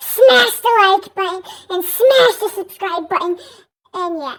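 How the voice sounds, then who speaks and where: Putting on a character voice, a woman sounds squeaky and pitched extremely high. Her pitch leaps up and down across a very wide range. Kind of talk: casual youtuber.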